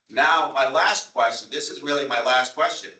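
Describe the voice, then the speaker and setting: This is a man talking. He speaks with a Long Island accent. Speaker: town official at a transit board meeting. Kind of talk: public meeting debate. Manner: animated.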